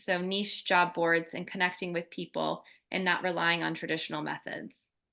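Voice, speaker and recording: A woman with a fairly low pitch and a bright, sharp tone speaks in a monotone, flat intonation at a moderate pace against a quiet background. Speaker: career coach. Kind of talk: webinar Q&A. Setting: video webinar. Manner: halting, many fillers.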